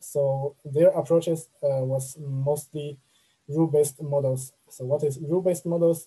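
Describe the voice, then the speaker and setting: Over a quiet background, a man with a dark, mellow, somewhat breathy tone speaks at a moderate pace in a monotone, flat way. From China. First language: Chinese. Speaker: machine learning engineer; presenter. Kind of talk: online talk with slides. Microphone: webcam.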